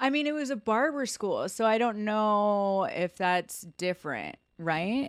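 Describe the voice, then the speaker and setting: In a very clean recording with a silent background and a dry, close sound with no echo, a woman uses an ordinary speaking voice at a fairly high pitch, speaking fairly slowly with lively intonation. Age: 30s. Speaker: podcast host, hairstylist and salon owner. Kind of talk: casual chat.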